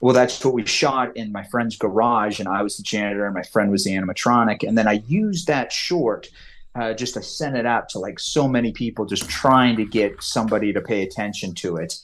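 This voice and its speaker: A speaker with a Californian accent talks at a fairly quick pace with hardly any pauses. The pitch varies in an ordinary way, and the background is quiet. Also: man, medium pitch for a man. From US West, California (Lake Tahoe). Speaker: comics writer and screenwriter. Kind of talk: podcast interview. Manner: halting, many fillers and restarts.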